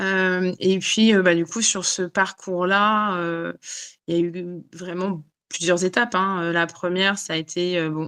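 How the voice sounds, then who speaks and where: Fairly low in pitch, a woman speaks at a fairly slow pace with fairly even intonation. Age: 40s. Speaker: life coach for autoimmune illness. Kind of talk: interview. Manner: halting, many fillers.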